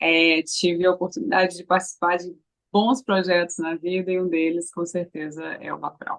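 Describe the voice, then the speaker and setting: At a moderate pace, a woman speaks with a fairly low pitch and fairly even intonation in a normal speaking voice. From Brazil, Recife (Pernambuco). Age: 30s. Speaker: actress. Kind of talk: interview.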